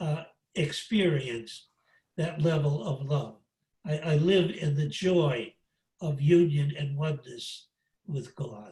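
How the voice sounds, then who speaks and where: Speaking at a very slow pace with long, frequent pauses, the voice is somewhat breathy and shows ordinary pitch variation. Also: man. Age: 80s+. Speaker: priest and spiritual teacher. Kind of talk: lecture. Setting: video call. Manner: halting.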